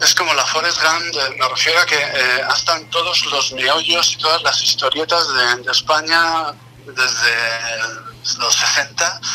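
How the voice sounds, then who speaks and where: Over noticeable background noise, a man's speech moves very slowly. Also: fairly high pitch for a man, ordinary pitch variation. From Basque Country, Vitoria. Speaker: guest artist. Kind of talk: casual interview chat.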